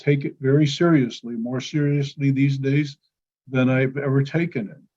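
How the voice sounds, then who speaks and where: A man's fairly high, somewhat breathy voice at a moderate pace. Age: 70s. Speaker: psychologist. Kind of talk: interview. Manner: halting.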